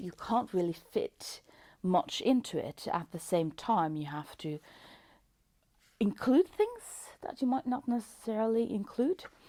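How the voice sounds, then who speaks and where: Speaking with a Norwegian accent, a woman uses a dark, mellow tone and a fairly high pitch, with very wide pitch swings, a fairly slow pace, and long, frequent pauses. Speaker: book reviewer. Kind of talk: casual book review. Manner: hesitant, many fillers.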